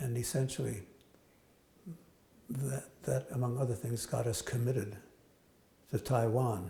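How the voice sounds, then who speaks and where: Medium-pitched male voice, dark and mellow in tone, with vocal fry. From United States. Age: 80s+. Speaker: economist and nuclear strategy professor. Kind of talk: interview answer. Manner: hesitant, reflective.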